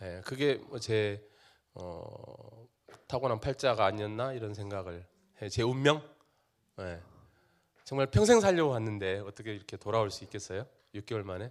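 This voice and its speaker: In an animated tone, a man with a fairly low pitch speaks at a moderate pace with ordinary pitch variation, big swings in loudness and long, frequent pauses. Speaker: company CEO. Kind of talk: talk show interview before live audience.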